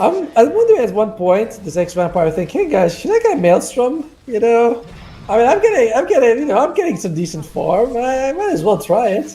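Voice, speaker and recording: Over noticeable background noise, a man with a non-native accent talks at a fairly quick pace. His pitch is extremely high and swings very widely. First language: not English. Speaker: esports caster. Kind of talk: live commentary. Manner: casual, chatty with asides.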